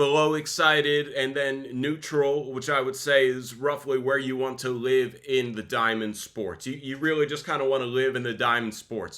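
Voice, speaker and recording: Speaking with an American accent, a man has a bright, sharp tone and ordinary pitch variation at a fairly quick pace. The recording is very clean with a silent background. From Texas. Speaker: sports broadcasting trainer. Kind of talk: podcast discussion. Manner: calm, near-neutral energy.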